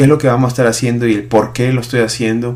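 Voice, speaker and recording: Noticeable background noise accompanies the recording. The speaker is a man. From Peru. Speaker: pastor. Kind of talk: podcast monologue. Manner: hesitant, many fillers (eh).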